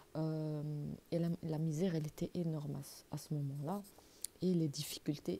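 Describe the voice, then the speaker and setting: A soft-spoken woman talks at a very slow pace, her pitch very deep and low. Her voice is somewhat breathy and dark and mellow in tone, with fairly even intonation. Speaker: religious YouTuber. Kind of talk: religious talk to camera. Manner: halting.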